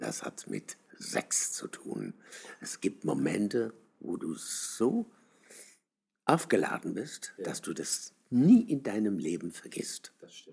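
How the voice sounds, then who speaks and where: With long, frequent pauses, a man speaks at a very slow pace, his loudness swinging widely. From southern Germany. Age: 70s. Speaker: travesty artist. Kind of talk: interview. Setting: outdoors on the street.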